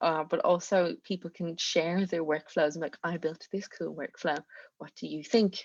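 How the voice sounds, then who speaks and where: A woman speaks with a strong Irish accent. The sound is dry and close with no echo, and the background is quiet. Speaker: community manager. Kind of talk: online presentation. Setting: video call.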